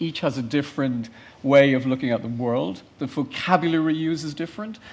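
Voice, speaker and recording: With an Irish accent, a man talks in a fairly high pitch. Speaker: futurist panelist. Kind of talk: panel discussion.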